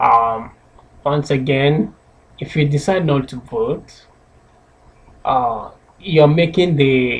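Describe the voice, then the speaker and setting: The pace is very slow, with long, frequent pauses. The voice is somewhat breathy, with ordinary pitch variation. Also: man. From Nigeria, Anambra State (southeast). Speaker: public speaking club member. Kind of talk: persuasive speech. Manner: hesitant with filler words.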